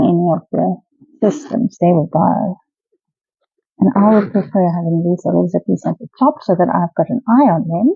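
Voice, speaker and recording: A woman's mumbling speech with vocal fry in a South African accent, medium in pitch at a moderate pace, the sound dry with no echo against a quiet background. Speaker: pet product reviewer. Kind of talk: casual talk to camera. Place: home room.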